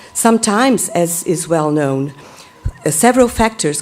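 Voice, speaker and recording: Against noticeable background noise, a woman with a fairly low voice speaks at a fairly slow pace with lively intonation. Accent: Portuguese. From Brazil. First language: Portuguese. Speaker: law professor. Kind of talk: conference talk. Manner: halting; formal.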